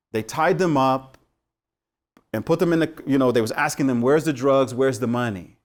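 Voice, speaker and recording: An animated tone comes through with an American accent and ordinary pitch variation. The recording is very clean, with a silent background. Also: man. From US West Coast, Los Angeles. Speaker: teacher. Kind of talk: lecture.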